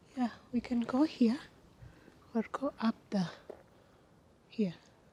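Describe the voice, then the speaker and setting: Someone is whispering quietly. The pace is very slow. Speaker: vlogger. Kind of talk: walking vlog commentary.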